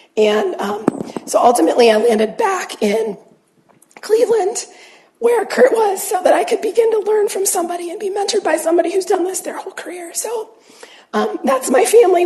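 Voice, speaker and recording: A woman with an American accent talks at a fairly quick pace, her extremely high pitch making very wide swings. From Ohio, Youngstown. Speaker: family physician. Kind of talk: lecture. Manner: halting.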